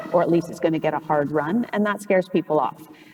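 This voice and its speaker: Someone with a Canadian accent talks at a very fast pace over noticeable background noise. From Canada. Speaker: antitrust lawyer, panelist. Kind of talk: panel discussion. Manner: halting, frequent fillers.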